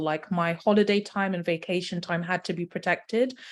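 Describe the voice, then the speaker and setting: On a very clean recording with a silent background, a woman with a British accent speaks at a medium pitch and moderate pace, with ordinary pitch variation. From United Kingdom. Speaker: medical doctor and wellness travel consultant. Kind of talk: podcast interview. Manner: hesitant with fillers.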